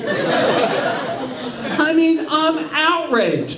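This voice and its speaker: This man's voice comes through with audible room echo and noticeable background noise. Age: 60s. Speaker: stand-up comedian. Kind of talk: stand-up. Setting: stage with audience.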